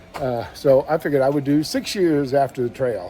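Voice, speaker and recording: Here a man talks at a moderate pace, his fairly high voice showing ordinary pitch variation. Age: 60s. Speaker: hiker vlogger. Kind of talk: casual vlog monologue. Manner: halting, many fillers.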